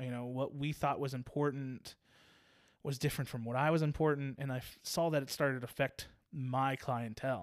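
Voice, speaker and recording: A normal speaking voice from a man at medium pitch, fairly quick in pace with fairly even intonation, on a very clean recording with a silent background. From Virginia Beach, Virginia. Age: 30s. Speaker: barber and shop owner. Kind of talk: casual interview conversation.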